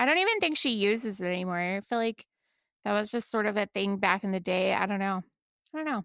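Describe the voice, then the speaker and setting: A woman with a normal speaking voice and a fairly high pitch talks at a fairly quick pace, the sound dry and close with no echo. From Texas. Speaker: podcast co-host. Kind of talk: casual chat.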